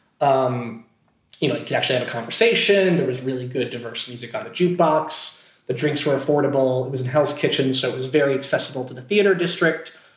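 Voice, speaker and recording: In an American accent, a somewhat breathy voice speaks at a very fast pace with ordinary pitch variation. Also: man, fairly high pitch for a man. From Scranton, Pennsylvania. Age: 20s. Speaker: actor. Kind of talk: casual chat.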